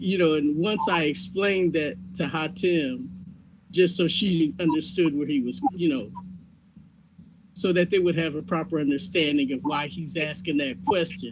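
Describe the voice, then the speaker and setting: Audible room echo surrounds a man with a high pitch. He speaks at a moderate pace with ordinary pitch variation. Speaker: community participant. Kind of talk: group discussion.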